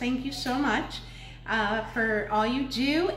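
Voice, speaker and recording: A woman speaks at a high pitch with ordinary variation. Audible room echo and light background noise surround her voice. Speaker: cooking show host. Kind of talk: casual livestream chat. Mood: friendly, upbeat. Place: kitchen. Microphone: camera far.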